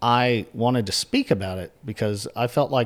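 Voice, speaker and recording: On a very clean recording with a silent background, a man speaks at a medium pitch with vocal fry and ordinary pitch variation. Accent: American. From northeastern North Carolina, US. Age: 40s. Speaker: journalist and editor. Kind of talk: interview conversation.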